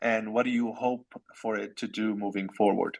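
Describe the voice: This man's pitch is fairly low, and vocal fry runs through his voice. He keeps a moderate pace and fairly even intonation.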